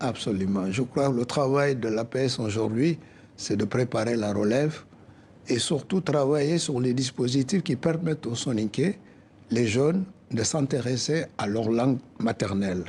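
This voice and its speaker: A man speaks with a West African accent at a fairly slow pace. His voice is somewhat breathy. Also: medium pitch for a man, ordinary pitch variation. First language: Soninke (speaking French). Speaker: association president, accountant. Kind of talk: TV interview.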